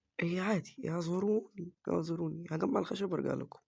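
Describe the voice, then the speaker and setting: In an Egyptian accent, the speaker keeps a moderate pace. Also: man. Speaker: gaming YouTuber. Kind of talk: let's play commentary.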